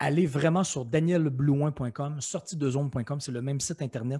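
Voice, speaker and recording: In a Quebec accent, a man with a fairly high pitch and a dark, mellow tone sounds somewhat breathy, with ordinary pitch variation, in a very clean recording over a silent background. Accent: Québécois French. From Quebec City, Quebec. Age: 40s. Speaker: author and motivational speaker. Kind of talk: interview.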